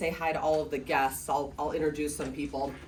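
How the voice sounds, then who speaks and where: The speaker has a Michigan accent. Noticeable background noise runs under the voice. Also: woman. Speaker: real estate agent. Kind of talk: presentation. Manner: casual, filler-heavy.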